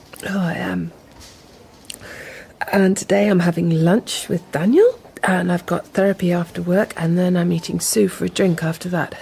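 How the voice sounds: A put-on character voice, female-sounding, raspy and fairly low in pitch, with a tired tone, moderate pace and long, frequent pauses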